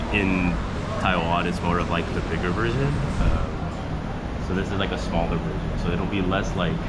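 Moderate-paced speech over loud background noise. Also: man. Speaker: food vlogger. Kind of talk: casual vlog chat. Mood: relaxed, cheerful. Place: cafe. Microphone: phone near.

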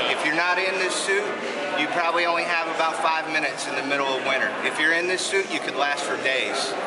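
A man's voice with ordinary pitch variation at a very fast pace, over loud background noise. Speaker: coast guard technician demonstrating gear. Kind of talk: demonstration explanation. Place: garage. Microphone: phone near.

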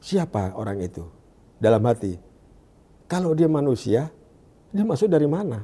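Somewhat breathy and dark, mellow in tone, a man speaks at a moderate pace with very wide pitch swings. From Indonesia, Jakarta (East Jakarta); Jakarta, Indonesia. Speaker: evangelist. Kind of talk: testimony. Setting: studio. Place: studio. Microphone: lapel.

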